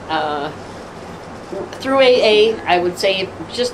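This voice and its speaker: There is noticeable background noise behind this woman. She speaks with an American accent and ordinary pitch variation. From Detroit, Michigan. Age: 70s. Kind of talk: interview answer.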